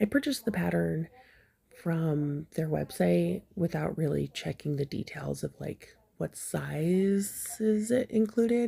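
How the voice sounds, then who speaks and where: Soft-spoken, a woman talks at a fairly slow pace. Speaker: crochet hobbyist. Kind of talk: casual review. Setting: recording at home in the evening.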